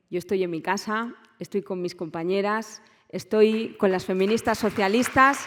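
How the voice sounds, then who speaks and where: A woman speaks with a Valencian accent. Her pace is fairly slow, with ordinary pitch variation. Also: medium pitch for a woman. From Valencia, Spain. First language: Valencian (speaking Spanish). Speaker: politician. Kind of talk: conference speech. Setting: conference stage with audience.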